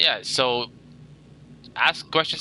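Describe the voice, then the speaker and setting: The sound is dry and close, with no echo. A man speaks in a bright, sharp tone. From Philippines. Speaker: gaming streamer. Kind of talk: game walkthrough livestream. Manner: casual, halting with fillers.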